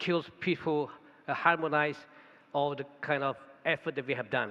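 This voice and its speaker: Speaking with a Thai accent, a man uses a fairly high pitch, fairly even intonation and a moderate pace. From Thailand. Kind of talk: conference talk. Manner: halting.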